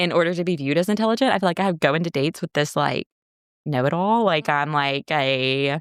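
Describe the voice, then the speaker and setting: A woman with an American accent, a very deep, low pitch, lively intonation and a very fast pace, in a dry, close sound with no echo. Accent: Southern US, sometimes suppressed. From US South. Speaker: podcast co-host. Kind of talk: casual chat.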